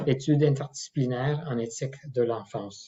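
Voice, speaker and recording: The voice is somewhat breathy and moves at a fairly slow pace. Its pitch variation is ordinary. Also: man. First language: not French (French is his third language) (speaking French). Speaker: professor and clinical ethicist. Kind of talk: lecture. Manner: halting, many hesitations.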